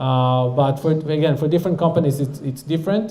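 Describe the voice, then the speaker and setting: With an Israeli accent, a man speaks at a moderate pace in a fairly high pitch with fairly even intonation, and audible room echo surrounds his voice. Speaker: startup founder and CEO. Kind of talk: audience Q&A talk. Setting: stage with audience.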